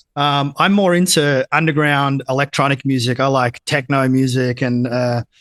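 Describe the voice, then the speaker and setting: At a moderate pace, a man with an Australian accent speaks in a fairly high pitch and fairly even intonation, the sound dry and close with no echo. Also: very even loudness, quiet background. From Australia, country Victoria (Geelong). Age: 30s. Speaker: entrepreneur, education business owner. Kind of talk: podcast interview. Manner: casual, filler-heavy.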